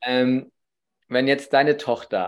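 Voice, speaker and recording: A man speaks at a very slow pace and medium pitch, on a very clean recording with a silent background. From northern Germany, Baltic coast. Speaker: podcast host, father. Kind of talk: casual interview chat.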